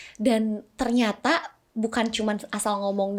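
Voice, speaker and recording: A woman's fairly high-pitched, plain, everyday voice moves with ordinary pitch variation. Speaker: actress and model. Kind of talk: casual chat.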